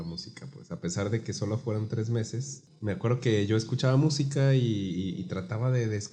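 Somewhat breathy, a man with a dark, mellow tone speaks with lively intonation. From Guadalajara, Mexico. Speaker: baritone singer and music teacher. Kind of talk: casual interview.

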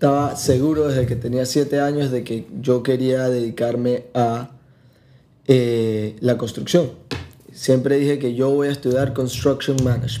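At a fairly slow pace, a man speaks with medium pitch, a dark, mellow tone and monotone, flat intonation. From Panama. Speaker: tourism entrepreneur. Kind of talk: casual chat.

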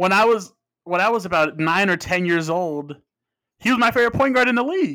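A man speaks in a raised, projected voice with a high pitch and lively intonation. His pace is fairly quick. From Phoenix, Arizona (Mexican-American family). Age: 20s. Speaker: podcast host. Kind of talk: monologue intro; casual interview.

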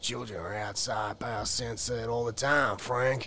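In a put-on character voice, a man talks raspily at a fairly slow pace and medium pitch, with clear background noise behind him. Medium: read story. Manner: slow, simple, whiny.

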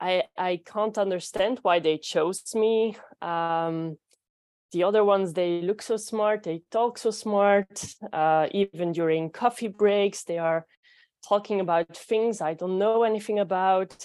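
Recorded dry and close with no echo against a quiet background, a woman with a Belgian accent speaks at a fairly slow pace in a medium pitch with fairly even intonation. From Belgium. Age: 20s. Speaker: physiotherapist, coaching client. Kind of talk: coaching conversation. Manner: halting, hesitant.

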